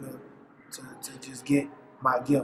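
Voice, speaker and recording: Through noticeable background noise, a man with a New Orleans accent talks at a fairly high pitch. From US South, New Orleans. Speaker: comedian. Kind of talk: interview. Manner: halting.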